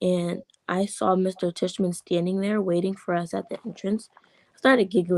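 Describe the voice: Reading aloud, plainly done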